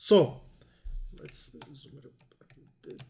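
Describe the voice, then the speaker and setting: The recording is very clean, with a silent background. A man speaks in a non-native accent. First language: not English (English is third language). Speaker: crypto trader and educator. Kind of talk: tutorial. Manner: halting, with fillers.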